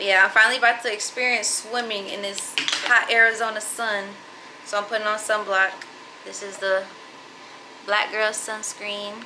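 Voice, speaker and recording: A woman talks at a moderate pace with long, frequent pauses. Noticeable background noise sits behind her. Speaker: vlogger. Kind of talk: casual vlog chat. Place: home room. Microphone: phone near.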